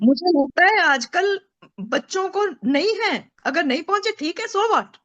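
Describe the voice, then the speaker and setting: A woman's extremely high voice with very wide pitch swings and a dry, close sound with no echo. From Uttar Pradesh, India. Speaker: mother, daughter of army officer. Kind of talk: interview answer.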